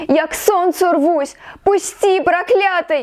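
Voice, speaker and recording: A woman speaks at an extremely high pitch and a very slow pace. Her intonation is fairly even. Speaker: poet. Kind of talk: poetry reading. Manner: emotional, expressive.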